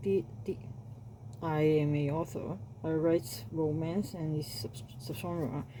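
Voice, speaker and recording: A woman with a very deep, low voice and a non-native accent speaks very slowly in a relaxed tone, her intonation lively and her pauses long and frequent. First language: not English. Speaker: self-published romance author and YouTuber. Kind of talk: casual vlog talk. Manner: halting, with repeated words and self-corrections; rambling, relaxed.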